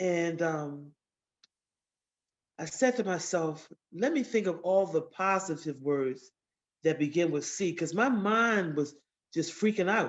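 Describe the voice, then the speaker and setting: A woman with a fairly low pitch speaks at a fairly slow pace, her intonation lively and broken by long, frequent pauses. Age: 60s. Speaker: cancer survivor. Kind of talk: testimony.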